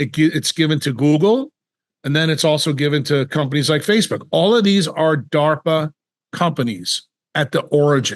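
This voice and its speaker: A man speaks in a normal speaking voice at a fairly high pitch and moderate pace. His loudness is very even and his pitch variation ordinary. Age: 60s. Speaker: neurosurgeon. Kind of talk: interview.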